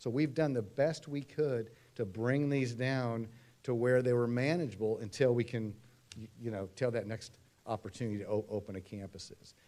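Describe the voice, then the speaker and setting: At a fairly quick pace, a man speaks in a medium pitch with a dark, mellow tone and ordinary pitch variation. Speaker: demographer presenting to school board. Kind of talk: presentation at public meeting. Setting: school board meeting. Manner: fast.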